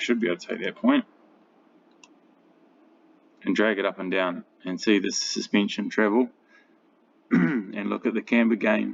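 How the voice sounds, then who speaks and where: Using a put-on character voice, a man speaks hoarse and raspy at a fairly low pitch and moderate pace, with long, frequent pauses. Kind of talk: casual explanatory tutorial tone.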